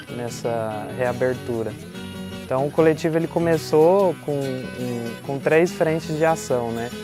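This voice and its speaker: Here a man talks at a very slow pace with lively intonation and a fairly high pitch. Music plays in the background. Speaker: collective member, university student, interviewee. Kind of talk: interview testimony. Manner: casual, conversational with fillers.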